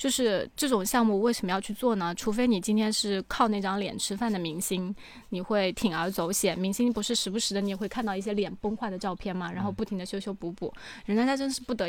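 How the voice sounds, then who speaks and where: A woman speaks at a medium pitch in a plain, everyday voice. She talks at a fairly quick pace with hardly any pauses. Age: 30s. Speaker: cosmetic treatment enthusiast. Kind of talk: casual chat.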